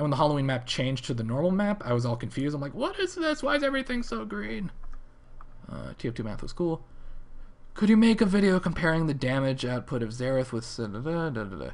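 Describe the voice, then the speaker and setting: A man speaks very fast in an American accent, his pitch fairly high. His pitch swings very widely. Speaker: gaming video creator streaming. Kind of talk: live stream chat and Q&A. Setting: live stream. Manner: casual, rambling with fillers.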